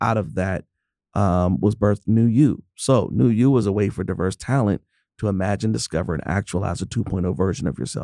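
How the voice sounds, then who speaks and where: Recorded dry and close with no echo in a quiet background, a man with an American accent speaks fairly quickly in a fairly low, dark, mellow voice with vocal fry and ordinary pitch variation. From US, Pittsburgh, Pennsylvania. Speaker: program director. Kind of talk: casual interview.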